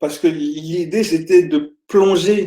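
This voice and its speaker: A man speaks very slowly in a dark, mellow tone. His pitch variation is ordinary. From France, Île-de-France (born in Congo, moved at four). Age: 50s. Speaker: author. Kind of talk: interview. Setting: video call. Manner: hesitant, many fillers.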